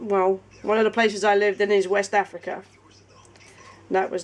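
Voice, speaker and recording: With a British accent, a woman speaks very fast at medium pitch. Her intonation stays fairly even. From England. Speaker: craft business partner. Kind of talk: casual chat.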